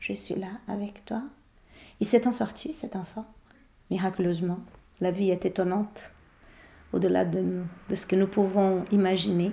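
A woman in a Portuguese accent, medium in pitch, at a fairly slow pace with fairly even intonation. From Brazil. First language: Portuguese (speaking French). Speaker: psychoanalyst. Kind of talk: interview. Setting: therapist's office. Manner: halting.

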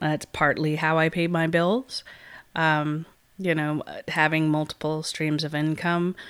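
In a very clean recording with a silent background, a woman speaks very slowly in a very deep, low pitch with flat, monotone intonation. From San Francisco Bay Area. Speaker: radio show co-host and musician. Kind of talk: casual chat.

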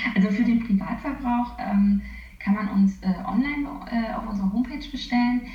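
A woman's plain, everyday voice at a moderate pace. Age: 30s. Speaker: nutritionist working for a vegan catering company. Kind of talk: interview. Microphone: poor interview audio quality.

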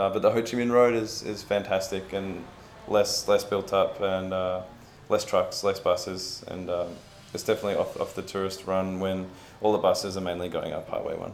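This man speaks with an Australian accent at a moderate pace. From Australia, Melbourne. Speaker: travel blogger. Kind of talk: casual chat. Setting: in person, traveling in Vietnam.

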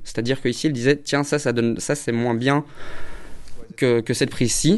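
Fairly quick in pace, the speech carries ordinary pitch variation. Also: man. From Belgium. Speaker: film director. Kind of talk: interview. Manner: halting.

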